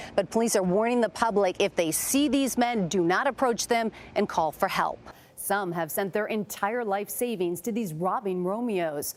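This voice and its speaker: Here a woman has an ordinary speaking voice at a medium pitch, with ordinary pitch variation. She speaks at a moderate pace on a very clean recording with a silent background. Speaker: network news correspondent and anchor. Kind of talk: broadcast news reporting. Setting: news report on location and in interview.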